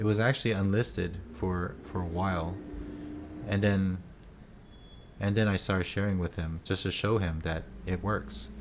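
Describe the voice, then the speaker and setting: Moderate pace and ordinary pitch variation, with long, frequent pauses and audible room echo. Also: man, very deep, low pitch for a man. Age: 40s. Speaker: day trader and live streamer. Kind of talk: live stream chat answering viewer questions. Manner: hesitant, many fillers and restarts.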